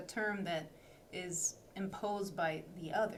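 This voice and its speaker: A woman with a non-native accent speaks at a medium pitch with ordinary variation. Room echo and background noise are both noticeable. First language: not English. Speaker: webinar host. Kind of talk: interview.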